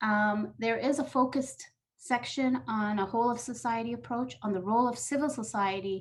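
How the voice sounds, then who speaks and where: Ordinary pitch variation in a fairly high, somewhat breathy female voice. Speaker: UN program staff presenter. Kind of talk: webinar presentation. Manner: fast.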